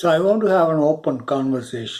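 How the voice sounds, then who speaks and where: A man speaks with a Tamil accent. His pitch varies in an ordinary way. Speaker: spiritual video creator. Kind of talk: spiritual talk to viewers. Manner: hesitant, with fillers.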